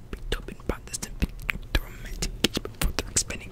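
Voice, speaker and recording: There's a man speaking in a whisper. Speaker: ASMR creator. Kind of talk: ASMR whispered reading. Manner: whispered. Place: home room. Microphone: studio mic.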